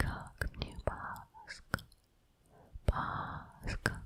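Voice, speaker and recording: Whispering at a very slow pace, a woman keeps a gentle tone over noticeable background noise. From Udmurtia, Russia. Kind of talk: ASMR trigger words for sleep. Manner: whispered, soft, gentle.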